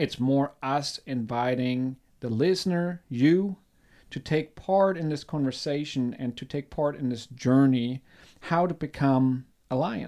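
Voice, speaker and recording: On a very clean recording with a silent background, a man with a German accent speaks fairly slowly in a dark, mellow tone at a fairly high pitch, with ordinary pitch variation. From Germany. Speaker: podcast co-host. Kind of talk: casual chat.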